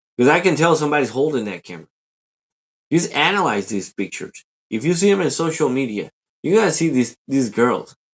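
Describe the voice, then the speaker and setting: A man's animated tone, with very wide pitch swings at a fairly quick pace. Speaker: livestreamer. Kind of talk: livestream rant. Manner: loud.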